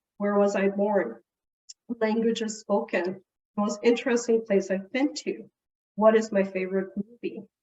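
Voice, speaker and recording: The speaker has a Portuguese accent and fairly even intonation. The pace is moderate, broken by long, frequent pauses. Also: woman, medium pitch for a woman. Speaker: family services director presenting to caregivers. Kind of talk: presentation.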